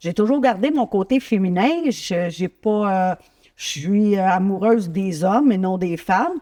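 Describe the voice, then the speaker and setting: The voice has a dark, mellow tone and lively intonation. The sound is dry and close, with no echo. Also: woman. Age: 60s. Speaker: talk show host. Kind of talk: interview.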